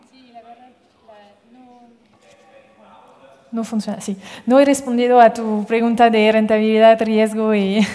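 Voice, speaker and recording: Her fairly high voice stays monotone and flat, broken by long, frequent pauses. Her loudness swings a lot, and the speaker is a woman. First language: French (speaking Spanish). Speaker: impact investment fund manager. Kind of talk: panel discussion. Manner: halting, many fillers and repetitions.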